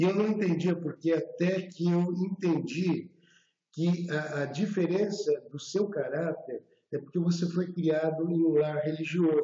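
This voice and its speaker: Fairly slow pace and fairly even intonation from a man with a high pitch. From Brazil, São Paulo. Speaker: former fashion designer sharing conversion story. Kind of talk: testimony.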